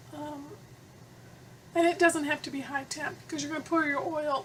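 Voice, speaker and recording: A woman's high-pitched voice with fairly even intonation over noticeable background noise. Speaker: soap-making tutorial creator. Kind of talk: tutorial. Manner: casual, with fillers.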